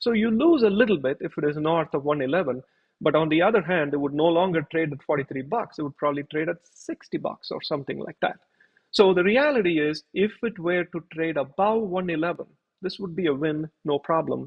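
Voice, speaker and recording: A man speaks with an unremarkable speaking voice. His pitch is fairly high, his pace fairly quick, and his pitch variation ordinary. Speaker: finance YouTuber. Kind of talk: tutorial.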